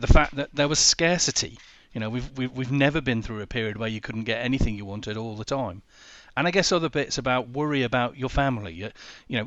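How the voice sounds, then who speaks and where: A very fast-paced man's voice at medium pitch, in a Yorkshire accent. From northern England, Sheffield. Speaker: business coach. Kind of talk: interview.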